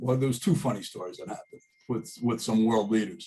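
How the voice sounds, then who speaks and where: A man talks at a fairly quick pace in a somewhat breathy voice with a dark, mellow tone. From US Northeast. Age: 60s. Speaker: college alumnus sharing life stories. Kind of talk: casual storytelling. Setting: video call. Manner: animated.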